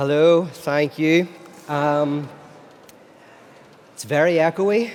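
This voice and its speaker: A man talks at a very slow pace. His pitch is fairly high and his intonation fairly even. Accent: Irish. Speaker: philosopher and speaker. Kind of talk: lecture. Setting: stage with audience at a festival.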